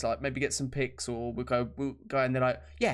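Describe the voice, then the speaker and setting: With a British accent, a man speaks at a moderate pace. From Britain. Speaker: podcast co-host. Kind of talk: casual chat.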